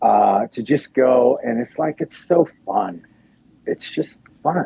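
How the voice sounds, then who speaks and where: A man with an American accent, very slow, in a dry, close sound with no echo. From Riverside, California and Anchorage, Alaska. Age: 60s. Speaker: actor and musician. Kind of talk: casual interview chat. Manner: animated, conversational with fillers.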